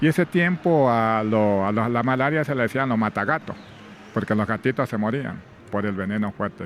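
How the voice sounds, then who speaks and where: Against noticeable background noise, a medium-pitched man talks at a moderate pace with ordinary pitch variation. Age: 60s. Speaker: former plantation worker. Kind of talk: testimony.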